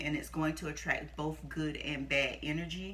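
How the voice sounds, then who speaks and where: A woman at a moderate pace with audible room echo. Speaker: youtuber sharing personal stories. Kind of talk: casual storytelling to camera. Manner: halting, skips and repeats.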